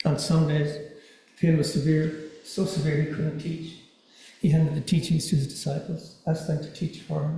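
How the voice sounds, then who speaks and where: A man's dark, mellow tone in a monotone, flat intonation at a moderate pace. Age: 60s. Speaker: dharma talk speaker. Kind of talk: dharma talk. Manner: soft-spoken; halting, repeats words.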